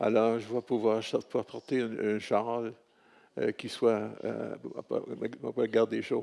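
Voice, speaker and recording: A man speaks at a very slow pace. Long pauses come often. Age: 80s+. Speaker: retired religious workshop leader. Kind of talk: speech of thanks. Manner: halting.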